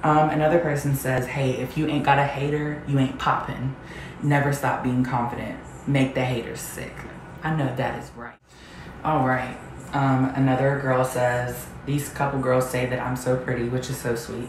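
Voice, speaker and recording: Over noticeable background noise and audible room echo, a woman talks in a very deep, low pitch with monotone, flat intonation. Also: moderate pace. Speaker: vlogger. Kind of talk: casual vlog chat, reading comments aloud. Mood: sassy, confident. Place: home room. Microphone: camera far.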